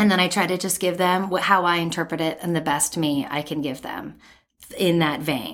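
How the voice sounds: The tone is fairly bright, and the pace is moderate. Intonation stays fairly even throughout. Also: woman, fairly low pitch for a woman.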